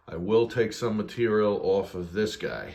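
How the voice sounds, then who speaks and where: A man with a normal speaking voice, a fairly low pitch, and fairly even intonation. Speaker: motorcycle fabrication youtuber. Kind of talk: workshop tutorial. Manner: casual with many fillers.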